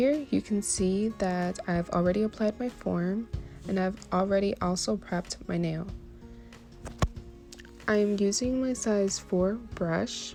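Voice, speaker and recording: A quiet woman's voice at a very slow pace, with ordinary pitch variation, long, frequent pauses and music in the background. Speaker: nail technician. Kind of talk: tutorial voice-over. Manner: low, quiet.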